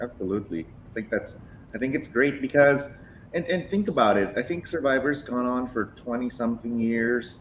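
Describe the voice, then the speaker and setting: With ordinary pitch variation and a medium pitch, a man speaks at a moderate speed. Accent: Filipino. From Philippines. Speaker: podcast co-host. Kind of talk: casual chat.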